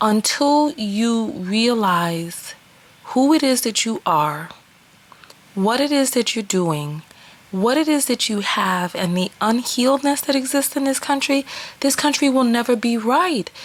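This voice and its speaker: A woman with a strong New York accent, high pitch and very wide pitch swings, at a fairly slow pace amid noticeable background noise. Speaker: vlogger and relationship coach. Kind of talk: opinion vlog monologue. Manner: animated.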